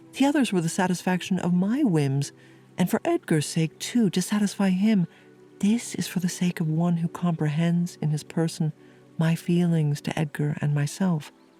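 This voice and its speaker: Music plays behind a woman with a fairly low pitch. Her loudness stays very even, and her pitch varies in an ordinary way. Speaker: sleep hypnotherapist and podcast host. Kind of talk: sleep story reading of a classic novel. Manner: calm, slow, soothing.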